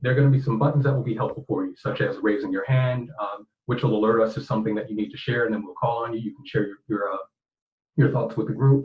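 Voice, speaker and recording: At a very fast pace, this man talks with some breathiness and ordinary pitch variation. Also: medium pitch for a man. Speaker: librarian and webinar facilitator. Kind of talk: webinar facilitation. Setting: online webinar.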